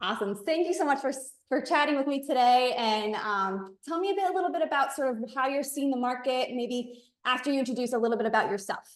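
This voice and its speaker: Talking at a very fast pace, a woman with an American accent uses lively intonation and high pitch. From Miami, Florida. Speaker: real estate attorney. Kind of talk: casual interview.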